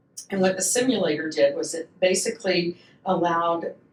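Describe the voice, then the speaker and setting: A fairly low-pitched woman with a Southern US accent and fairly even intonation. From US South, Atlanta, Georgia. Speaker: patient coordinator. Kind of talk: casual podcast chat.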